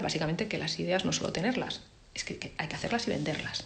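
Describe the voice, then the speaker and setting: A woman talking at a very fast pace, with audible room echo and noticeable background noise. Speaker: advertising creative director. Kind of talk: talk with Q&A. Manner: casual.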